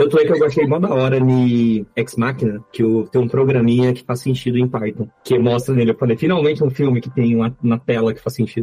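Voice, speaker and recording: A man at a medium pitch and fairly quick pace, hardly any pauses, fairly even intonation, noticeable background noise behind him. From Minas Gerais, Brazil (Belo Horizonte). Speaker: software architect. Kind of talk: casual chat.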